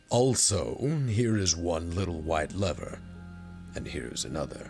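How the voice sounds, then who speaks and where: Over clear music in the background, a man in a put-on character voice uses a very deep, low pitch and lively intonation at a moderate pace. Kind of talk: audiobook reading.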